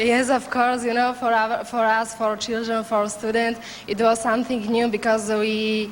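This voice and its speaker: A woman with a Slovak accent speaks at a fairly high pitch and moderate pace, her intonation monotone and flat. Her loudness stays very even over noticeable background noise. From Slovakia. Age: 20s. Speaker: beauty pageant contestant. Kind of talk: interview. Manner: halting.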